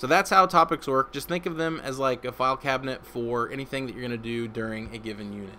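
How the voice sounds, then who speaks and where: A man with a medium pitch talks at a very fast pace, hardly pausing at all. His pitch varies in an ordinary way, while his loudness swings widely. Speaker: instructional technology trainer. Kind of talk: live tutorial webinar. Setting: live stream. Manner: casual.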